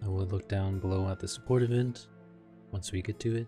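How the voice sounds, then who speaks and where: Over music in the background, a man mumbles at a fairly quick pace with a fairly low pitch and ordinary pitch variation. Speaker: game streamer. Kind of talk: casual patch notes commentary. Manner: mumbling.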